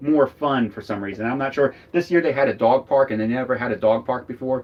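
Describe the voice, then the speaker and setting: Speaking at a fairly quick pace, a man has a slight Philadelphia accent. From US Northeast, Philadelphia. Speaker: RV travel vlogger. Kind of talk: casual chat. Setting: live stream from RV.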